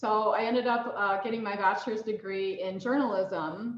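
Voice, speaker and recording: Against noticeable background noise, a woman with an American accent speaks at a moderate pace and medium pitch with fairly even intonation. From USA. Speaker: mentor and banking technology professional. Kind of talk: mentoring talk. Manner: hesitant with many fillers.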